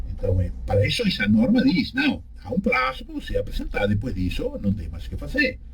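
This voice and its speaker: A man speaks with a Uruguayan accent. His pace is fairly quick. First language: Spanish (speaking Portuguese). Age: 60s. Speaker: law professor. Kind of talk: radio interview. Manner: halting.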